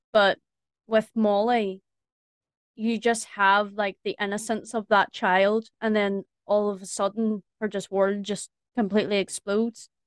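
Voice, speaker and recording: A woman's medium-pitched, monotone, flat delivery at a fairly slow pace, with a dry, close sound, no echo and a quiet background. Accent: strong rural Irish. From rural Ireland. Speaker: voice actress. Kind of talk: casual chat.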